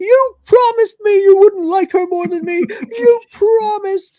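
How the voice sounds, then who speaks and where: Putting on a whiny character voice, a man talks at a moderate pace in an extremely high pitch. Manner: pleading, upset.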